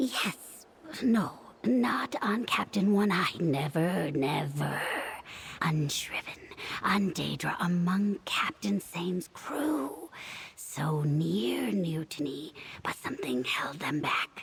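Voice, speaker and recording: A put-on character voice at a middle pitch speaks at a very slow pace. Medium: video game. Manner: clipped, fragmentary phrases, answering itself.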